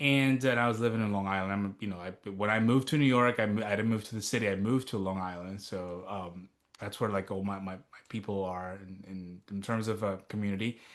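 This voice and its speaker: An ordinary speaking voice with fairly even intonation. It moves at a fairly quick pace with hardly any pauses. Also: man, fairly low pitch for a man. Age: 30s. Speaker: TV news reporter and author. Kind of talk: interview. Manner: casual, filler-heavy.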